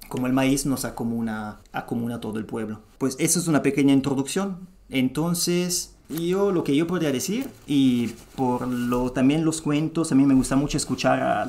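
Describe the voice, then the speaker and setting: The speaker is a man with a fairly high pitch. His tone is dark and mellow, with ordinary pitch variation. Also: moderate pace. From Italy. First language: Italian (speaking Spanish). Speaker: podcast guest speaking about traditional medicine. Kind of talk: explanatory interview talk. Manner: halting, with many fillers and restarts.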